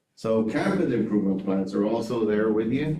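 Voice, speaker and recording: A man with a medium pitch and ordinary pitch variation talks amid audible room echo. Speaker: school district administrator. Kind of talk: board presentation. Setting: school board meeting room.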